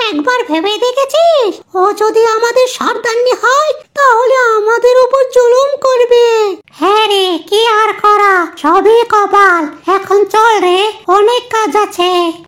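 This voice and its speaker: At a moderate pace, a squeaky, female-sounding cartoonish character voice speaks at an extremely high pitch for a woman. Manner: gossipy.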